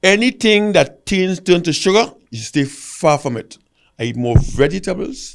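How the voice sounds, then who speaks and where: On a very clean recording with a silent background, a man talks at a moderate pace in a high pitch, with very wide pitch swings and big swings in loudness. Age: 70s. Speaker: retired athlete, gold medalist. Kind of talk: podcast interview.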